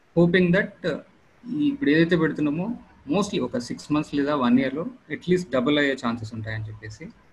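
Somewhat breathy, a man's fairly high voice carries lively intonation. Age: 30s. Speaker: software project manager. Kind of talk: Q&A on a video call. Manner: halting.

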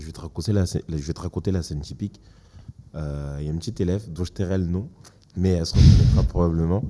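Very fast and very deep, a man's voice shows ordinary pitch variation and big swings in loudness. Noticeable background noise is present. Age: 20s. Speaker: school education counsellor. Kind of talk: casual chat.

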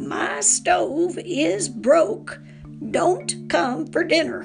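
In a hoarse, raspy put-on character voice, the speaker talks at a very slow pace while clear music plays in the background.

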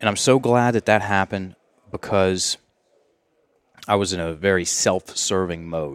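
A man with an American accent, a very deep, low pitch, ordinary pitch variation, and long, frequent pauses, in a dry, close sound with no echo. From US South (Virginia). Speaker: language and mindset coach. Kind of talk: casual podcast interview.

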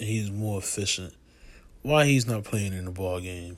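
Over a very clean recording with a silent background, a man speaks at a fairly slow pace with a very deep, low pitch. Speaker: sports commentator. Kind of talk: angry sports rant.

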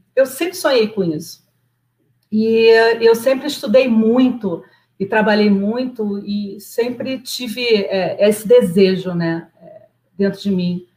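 A woman speaks at a very slow pace in a fairly high pitch. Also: long, frequent pauses. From Nova Iguaçu, Rio de Janeiro, Brazil. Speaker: project manager, immigrant. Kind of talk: live interview.

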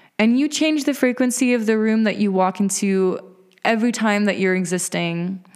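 This woman has an ordinary speaking voice, fairly high in pitch with ordinary pitch variation. She talks at a moderate pace and her loudness stays very even. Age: 20s. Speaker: podcast host and spiritual guide. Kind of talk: casual monologue.

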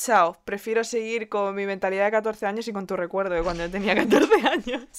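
A woman speaks in a Spanish accent at a moderate pace, her pitch fairly high. Her tone is animated. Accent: Peninsular Spanish. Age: 20s. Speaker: podcast co-host. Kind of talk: casual chat.

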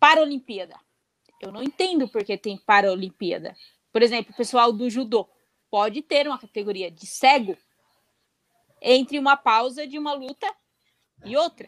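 With big swings in loudness and lively intonation, a woman speaks at a high pitch. Her pace is moderate, broken by long, frequent pauses. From Brazil. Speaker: blind roller skating athlete. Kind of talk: interview on live stream.

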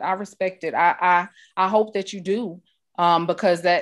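A woman with an ordinary speaking voice talks at a fairly low pitch with fairly even intonation. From New York. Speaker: podcast host. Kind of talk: interview.

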